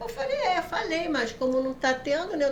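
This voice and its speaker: Noticeable background noise and audible room echo fill the recording. A woman speaks through them at a moderate pace. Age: 60s. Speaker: lawyer. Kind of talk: casual chat.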